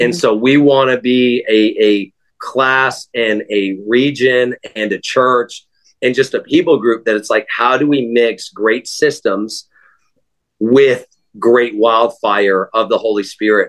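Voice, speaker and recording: A man with an American accent speaks in an ordinary speaking voice at a medium pitch, fairly slowly and with fairly even intonation. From Texas. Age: 20s. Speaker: high school instructor. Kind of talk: interview.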